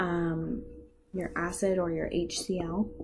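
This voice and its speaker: Noticeable background noise and audible room echo around a woman's fairly low-pitched voice. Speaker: chemistry teacher. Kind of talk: lecture.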